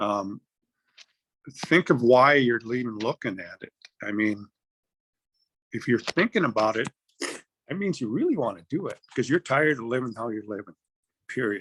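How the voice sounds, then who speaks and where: A man at medium pitch talks at a moderate pace with lively intonation and big swings in loudness. The sound is dry and close with no echo, and he leaves long, frequent pauses. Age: 60s. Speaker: program participant. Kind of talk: testimony.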